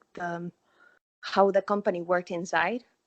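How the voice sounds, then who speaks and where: Here a woman speaks with a Spanish accent. Her intonation stays fairly even. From Argentina. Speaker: former international theme park worker. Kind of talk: casual interview. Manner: halting.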